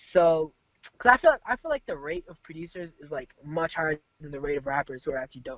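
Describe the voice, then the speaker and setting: Man with a fairly high voice at a very fast pace, full of big swings in loudness. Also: ordinary pitch variation. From San Francisco Bay Area. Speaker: rapper. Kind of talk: casual interview.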